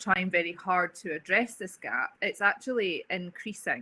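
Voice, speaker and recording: In an Edinburgh accent, a woman of medium pitch speaks at a moderate pace with a bright, sharp tone and ordinary pitch variation. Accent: Scottish (Edinburgh). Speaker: agency managing director. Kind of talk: webinar talk.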